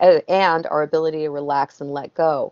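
A woman talking at a moderate pace against a quiet background. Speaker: guest. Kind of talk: interview answer. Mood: calm, explanatory. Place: home room. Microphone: video call.

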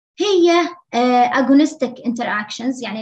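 Her high voice carries lively intonation as she talks at a medium tempo. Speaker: medical student tutor. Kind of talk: lecture.

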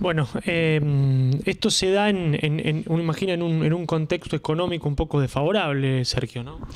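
There is noticeable background noise as a man speaks at a fairly high pitch and a moderate pace. His pitch varies in an ordinary way. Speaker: local radio interviewer. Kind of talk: interview. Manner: halting, many repetitions.

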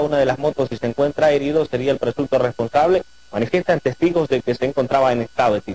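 With noticeable background noise but a dry, close sound with no echo, a man talks at a very fast pace in a fairly high pitch with ordinary pitch variation. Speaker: news reporter. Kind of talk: news reporting.

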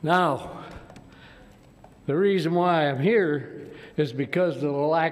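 A man at a very slow pace, with ordinary pitch variation and noticeable background noise. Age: 80s+. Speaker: war veteran and public commenter. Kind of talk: public comment at council meeting.

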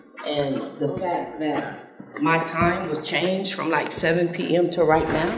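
Against noticeable background noise, a woman with an American accent speaks at a very deep, low pitch with fairly even intonation. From Flint, Michigan. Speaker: spoken word artist. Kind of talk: casual talk to live audience. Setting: live stage, outdoors festival.

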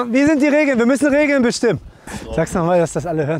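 Ordinary pitch variation comes through as a man talks.

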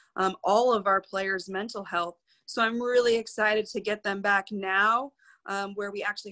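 Against a quiet background, a woman with a bright, sharp tone speaks at a moderate pace in a monotone, flat intonation. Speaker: sports team head coach. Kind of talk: interview answer. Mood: reflective, earnest. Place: office. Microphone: video call.

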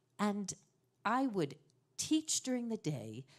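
With an American accent, the speaker talks at a moderate pace with very wide pitch swings against a quiet background. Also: woman. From New York. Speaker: storyteller. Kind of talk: storytelling performance. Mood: emotional family history. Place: stage. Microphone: studio mic.

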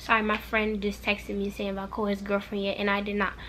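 Over light background noise, a woman speaks with a bright, sharp tone. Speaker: vlogger. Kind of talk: casual vlog chat. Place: home room. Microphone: camera far.

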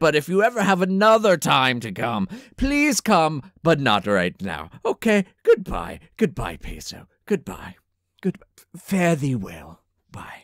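In a put-on character voice with a pompous tone, a man speaks at a fairly slow pace and a fairly high pitch. The recording is very clean, with a silent background. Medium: comedy sketch. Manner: pompous, rambling.

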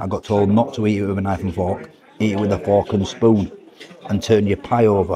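Over noticeable background noise, a man with a Yorkshire accent talks at a fairly quick pace, his fairly low voice keeping a fairly even intonation. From northern England. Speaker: food vlogger. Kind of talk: casual vlog narration; sponsor read. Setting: inside a busy pie shop; outdoors in the rain.

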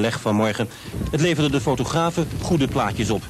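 A man talks at a moderate pace with ordinary pitch variation. Noticeable background noise sits under his voice. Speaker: news reporter. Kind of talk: 1980s TV news report, scripted voice-over. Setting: outdoors report with voice-over over footage. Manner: formal, measured, even-toned newsreader delivery.

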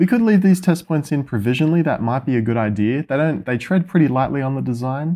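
A man's dark, mellow tone. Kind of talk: tutorial. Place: workshop. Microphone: camera far.

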